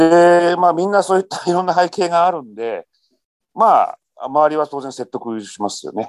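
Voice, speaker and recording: A man's high voice at a moderate pace with lively intonation, in a dry, close sound with no echo. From Japan, Shizuoka. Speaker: M&A consultant. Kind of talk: interview.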